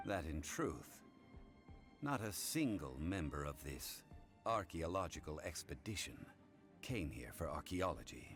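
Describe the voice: A man's put-on character voice, extremely low in pitch with big pitch swings and a fairly bright tone, at a fairly slow pace over faint background music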